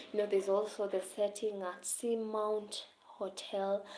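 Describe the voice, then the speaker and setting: Monotone, flat intonation in a dark, mellow tone from a woman. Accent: Kenyan. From Kenya. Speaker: teacher discussing literature setbook. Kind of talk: live stream talk to viewers. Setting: live stream.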